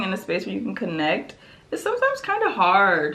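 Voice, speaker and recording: A woman's animated voice, with audible echo from the room. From Prince George's County, Maryland, US. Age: 20s. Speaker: beauty and lifestyle vlogger. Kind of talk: casual chat while doing makeup.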